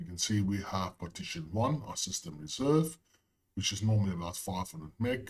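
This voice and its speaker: A somewhat breathy man's voice with very wide pitch swings. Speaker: IT tutorial creator. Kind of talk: tutorial. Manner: casual, with frequent fillers.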